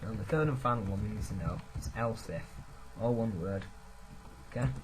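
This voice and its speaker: A man with a fairly low pitch talks with lively intonation over noticeable background noise and audible room echo. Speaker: programming tutor. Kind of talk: screen-recorded coding tutorial. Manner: fast.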